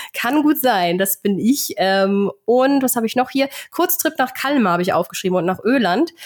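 A woman's high-pitched voice moves at a moderate pace with very wide pitch swings. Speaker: podcast host. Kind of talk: casual chat.

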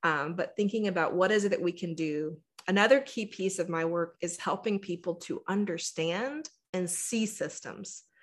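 A woman with an American accent uses a normal speaking voice at medium pitch, a moderate pace and ordinary pitch variation against a quiet background. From Texas. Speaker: engineer turned diversity and inclusion speaker. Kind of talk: interview conversation.

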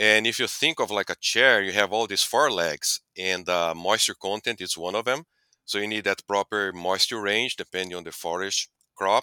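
In a Portuguese accent, a man with a fairly low pitch and ordinary pitch variation speaks at a moderate pace in a bright, sharp tone, the sound dry and close with no echo on a very clean recording with a silent background. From Brazil. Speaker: animal nutrition scientist. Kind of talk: interview.

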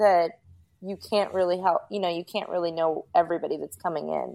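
A woman with a medium pitch and an American accent, at a fairly quick pace, in a very clean recording with a silent background, a plain, everyday voice. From US Northeast, Rockland County, New York. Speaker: paranormal investigator. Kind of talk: casual chat.

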